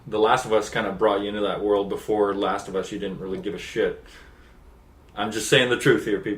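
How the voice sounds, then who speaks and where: In a Canadian accent, a man with a fairly low pitch speaks at a fairly quick pace with fairly even intonation, and room echo is audible. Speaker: gaming video co-host. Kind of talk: casual chat.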